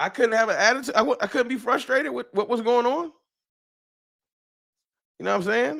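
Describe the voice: A man speaks at an extremely high pitch, with a fairly bright tone and vocal fry. His pace is moderate. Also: ordinary pitch variation.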